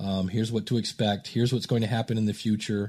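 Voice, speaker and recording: In an American accent, a man speaks at a fairly low pitch with monotone, flat intonation in a very clean recording with a silent background. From US Midwest, Akron, Ohio. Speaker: podcast coach. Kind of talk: interview conversation.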